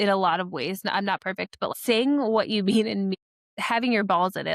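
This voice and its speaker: A woman speaks at a fairly quick pace with ordinary pitch variation. The recording is very clean and dry, with a silent background and a close sound with no echo. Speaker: real estate agent and podcast co-host. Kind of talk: casual chat. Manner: fast.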